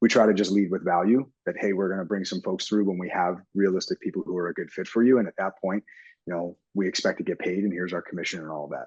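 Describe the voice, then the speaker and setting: In a dry, close sound with no echo, a man with a very deep, low pitch rattles along at a very fast pace with fairly even intonation. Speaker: real estate agent. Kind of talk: interview.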